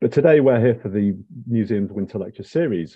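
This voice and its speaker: The speech comes at a very fast pace. The background is quiet. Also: man. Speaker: museum research manager hosting lecture. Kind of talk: lecture introduction. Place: home room. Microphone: earbuds.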